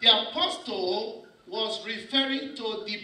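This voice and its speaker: The voice is raised and projected, moving at a very slow pace. Audible room echo surrounds it. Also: man. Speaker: pastor. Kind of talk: sermon.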